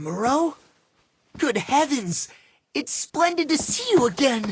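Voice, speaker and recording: The voice is a put-on character with a high pitch. Its pace is fairly slow. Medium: video game. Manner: observant, cutting.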